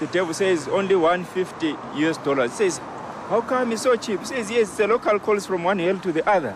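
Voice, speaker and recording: A man's high voice with lively intonation at a fairly quick pace over noticeable background noise. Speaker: Zimbabwean migrant. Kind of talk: joke telling.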